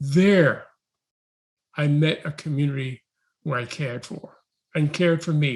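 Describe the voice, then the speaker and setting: His pitch varies in an ordinary way. The man keeps a moderate pace. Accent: New York. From New York City. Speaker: education researcher. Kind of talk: talk.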